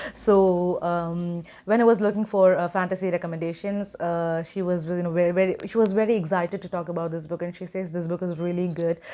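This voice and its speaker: The voice has a dark, mellow tone and a monotone, flat intonation, moving at a fairly quick pace. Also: woman, fairly low pitch for a woman. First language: not English. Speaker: book YouTuber. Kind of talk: casual vlog talk. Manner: hesitant with many fillers.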